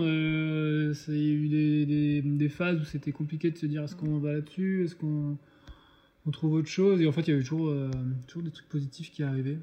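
A man speaks with a plain, everyday voice. His pitch is fairly high and his pace moderate. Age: 30s. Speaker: food truck co-owner, art director. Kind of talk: casual interview.

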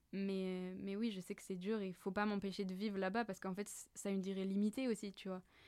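A woman talks at a very fast pace in a dark, mellow tone. Her medium-pitched delivery is monotone and flat. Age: 20s. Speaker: business school student. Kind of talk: casual chat.

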